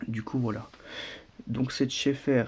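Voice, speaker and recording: A soft-spoken man talks at a fairly slow pace with a dark, mellow tone. His intonation stays fairly even. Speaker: RC car hobbyist youtuber. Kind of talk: product presentation. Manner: hesitant, many fillers.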